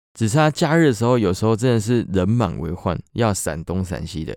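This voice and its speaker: A man with a Taiwanese accent speaks at a fairly quick pace and fairly low pitch, his tone dark and mellow. The recording is very clean with a silent background and a dry, close sound with no echo. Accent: Taiwanese Mandarin. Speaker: podcast host and water sports instructor. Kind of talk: casual chat.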